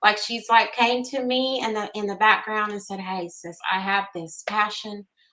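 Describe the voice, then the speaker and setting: A woman's plain, everyday voice, moderate in pace, with fairly even intonation. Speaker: Reiki practitioner. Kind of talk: live stream host talk.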